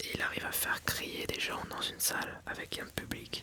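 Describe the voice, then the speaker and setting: Through noticeable background noise, a man is whispering. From France. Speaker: ASMR creator and filmmaker. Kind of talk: ASMR advice reading, casual talk to camera. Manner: soft-spoken, whispered, relaxing.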